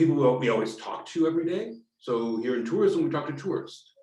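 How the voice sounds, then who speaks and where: An American accent with very wide pitch swings, a somewhat breathy tone and a moderate pace. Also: man. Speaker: strategy consultant. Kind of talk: online meetup talk. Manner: halting, many fillers.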